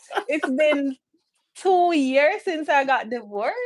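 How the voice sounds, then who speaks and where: A woman speaks in a high pitch with a Jamaican accent. Her pitch swings very widely. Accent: Jamaican, Patois-inflected. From Jamaica, St Catherine. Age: 30s. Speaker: immigrant sharing experience. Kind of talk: live-stream interview.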